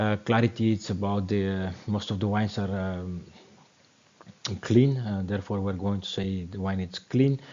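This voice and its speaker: Fairly even intonation in a non-native accent, at a moderate pace. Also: man. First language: not English. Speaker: wine educator. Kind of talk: tutorial. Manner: halting, many fillers.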